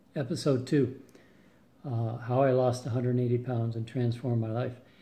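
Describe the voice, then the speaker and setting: Audible room echo surrounds a man's somewhat breathy voice with a dark, mellow tone. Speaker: weight loss vlogger. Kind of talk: casual video update. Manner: hesitant, many fillers.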